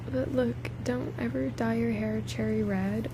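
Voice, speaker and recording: A soft-spoken woman's very deep, low voice at a fairly slow pace, with noticeable background noise. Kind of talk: casual ASMR livestream chat.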